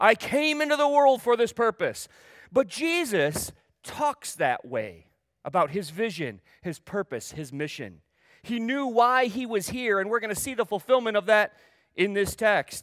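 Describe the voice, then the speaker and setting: Talking at a fairly slow pace, a man uses a high pitch with very wide pitch swings. The recording is very clean, with a silent background. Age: 50s. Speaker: pastor. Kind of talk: sermon. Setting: church.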